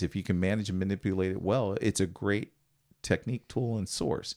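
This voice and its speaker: A man with an American accent speaks at a fairly low pitch and a fairly quick pace, in a normal speaking voice. The recording is very clean, with a silent background. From western Pennsylvania, near Pittsburgh. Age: 50s. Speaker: military veteran and pastor. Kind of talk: interview.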